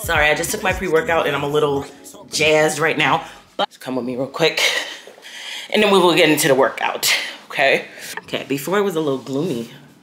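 Music plays in the background as a woman speaks at a fairly quick pace with ordinary pitch variation. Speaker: fitness vlogger. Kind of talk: casual vlog chat.

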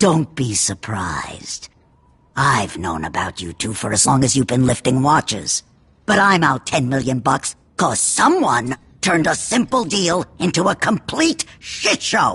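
A man puts on a character voice with a bright, sharp tone, a husky, rough edge and vocal fry. His pitch sits at a medium level with big swings, and his pace is fairly slow.

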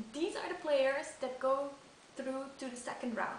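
A woman with a non-native accent speaks in a high voice. There is audible room echo and light background noise. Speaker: snooker fan, amateur video maker; amateur snooker video host. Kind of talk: casual talk to camera. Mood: playful, smiling. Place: home room. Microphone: camera far.

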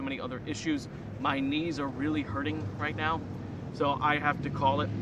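Recorded dry with no echo but with noticeable background noise, a man talks at a fairly quick pace in a fairly high pitch. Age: 20s. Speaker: amateur skateboarder vlogger. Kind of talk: casual vlog. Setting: outdoors at skate spot. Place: street. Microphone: camera far.

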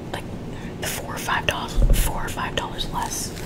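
Soft-spoken whispering at a fairly quick pace over loud background noise. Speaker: receipt review vlogger. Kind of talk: casual vlog chat. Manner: soft ASMR whisper. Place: home room.

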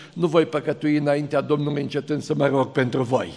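A man speaks with flat, monotone intonation. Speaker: preacher at an ordination service. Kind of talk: sermon. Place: hall. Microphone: podium.

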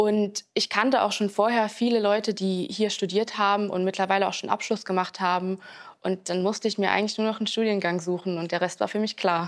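Against a quiet background, a woman speaks fairly quickly at a medium pitch with monotone, flat intonation. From Saarland, near St. Wendel; Saarland. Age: 20s. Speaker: university student. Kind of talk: student testimonial interview. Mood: calm, friendly. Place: hall. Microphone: lapel.

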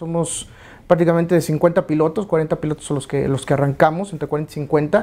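With a dark, mellow tone and fairly high pitch, a man speaks at a moderate pace in fairly even intonation. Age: 40s. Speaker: racing driver. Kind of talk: interview. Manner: halting, with many fillers. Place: studio. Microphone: lapel.

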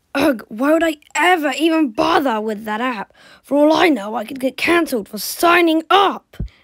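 The voice is a high-pitched, put-on character voice. Its pace is moderate. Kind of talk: comic overacting. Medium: fan dub. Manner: smug, mocking.

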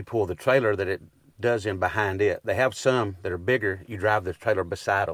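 Against a quiet background, a man with an East Texas accent talks at a fairly quick pace and fairly low pitch, with fairly even intonation and a dry sound with no echo. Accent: East Texas Southern US. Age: 50s. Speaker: rural landowner. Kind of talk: casual chat. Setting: outdoors. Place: farm machine. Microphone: lapel.

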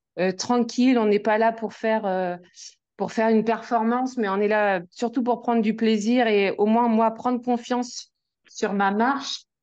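Over a quiet background, a woman speaks fairly slowly at a fairly high pitch in a flat monotone. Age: 40s. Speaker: amateur nordic walker. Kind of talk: casual interview. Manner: hesitant.

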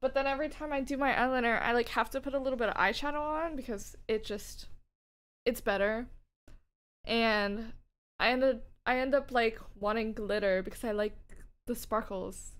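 Speaking at a moderate pace with a high pitch, a woman uses ordinary pitch variation and leaves long, frequent pauses. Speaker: streamer. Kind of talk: casual chat. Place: home room. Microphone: studio mic.

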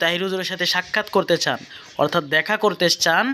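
A man's voice at a high pitch. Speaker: Islamic vlogger. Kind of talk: vlog narration. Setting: in a car.

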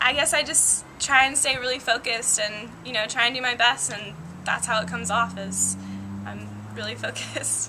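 A woman talks at a moderate pace. Noticeable background noise runs behind her. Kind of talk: interview answer. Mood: cheerful, laughing often.

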